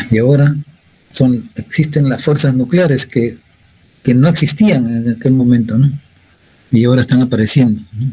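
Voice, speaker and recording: Somewhat breathy, a man speaks at very even loudness, leaving long, frequent pauses. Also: medium pitch for a man, ordinary pitch variation, moderate pace. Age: 60s. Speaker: university physics lecturer. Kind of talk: lecture. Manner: conversational, frequent tag questions.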